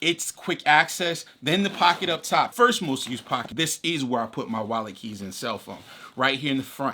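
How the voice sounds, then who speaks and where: With very wide pitch swings, a man with a fairly high pitch and a bright, sharp tone speaks at a moderate pace. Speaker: gear reviewer. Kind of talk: product review. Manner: casual, conversational; halting.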